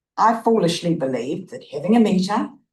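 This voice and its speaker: A woman with a New Zealand accent, lively intonation and a fairly quick pace. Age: 80s+. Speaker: resident speaking at public forum. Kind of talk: prepared public submission read aloud. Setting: council meeting chamber.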